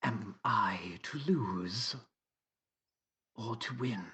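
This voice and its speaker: The speaker performs a put-on character voice. The pitch is low. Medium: actual play. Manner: formal, clipped, literal.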